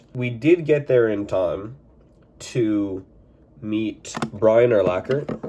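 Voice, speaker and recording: A man's voice over noticeable background noise. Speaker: sports card collector YouTuber. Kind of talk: casual vlog recap.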